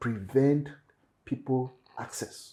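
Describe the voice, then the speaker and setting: The man's voice is dark, mellow and somewhat breathy. His delivery is very slow. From Cameroon, anglophone region. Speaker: startup founder. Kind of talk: panel discussion. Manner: animated.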